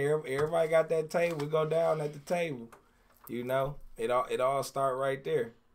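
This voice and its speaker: A man with an American accent at a moderate pace, fairly even in intonation, on a very clean recording with a silent background. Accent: Detroit accent, noticeable to outsiders. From Detroit, US. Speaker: hip hop artist. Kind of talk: interview. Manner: laid back.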